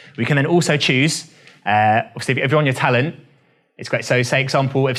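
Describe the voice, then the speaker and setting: Very fast speech from a man at medium pitch, fairly even in intonation, with music in the background. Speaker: filmmaker and workshop instructor. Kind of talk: lecture. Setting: university classroom. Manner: conversational.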